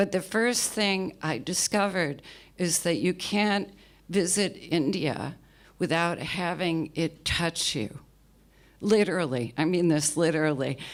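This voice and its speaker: A woman speaks fairly slowly in an American accent, her pitch fairly low with ordinary variation. The recording is very clean, with a silent background. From New York, US. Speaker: spiritual writer and editor. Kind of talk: personal talk to an audience.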